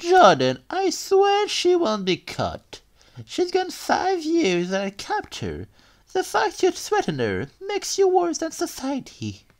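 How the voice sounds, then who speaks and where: This woman puts on a character voice pitched extremely high. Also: fairly slow pace. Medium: audio drama. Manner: authoritative, scolding.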